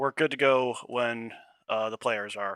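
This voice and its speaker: Soft-spoken and bright with a sharp tone, a man talks at a moderate pace and medium pitch with fairly even intonation, in a dry, close sound with no echo. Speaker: esports caster. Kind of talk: casual chat. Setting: voice call on Discord.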